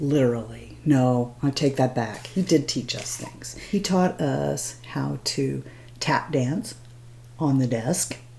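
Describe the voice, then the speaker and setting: A woman talks with very wide swings in pitch. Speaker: beauty vlogger. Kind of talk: casual talk to camera. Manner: rambling, chatty.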